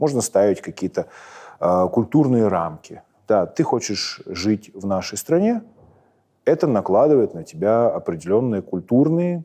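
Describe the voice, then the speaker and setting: In a Moscow accent, a man with a dark, mellow tone and medium pitch speaks at a fairly slow pace with very wide pitch swings and long, frequent pauses, over a quiet background. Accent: Moscow Russian accent when speaking Ukrainian. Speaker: military commander. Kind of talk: interview. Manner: many filler sounds (e, m).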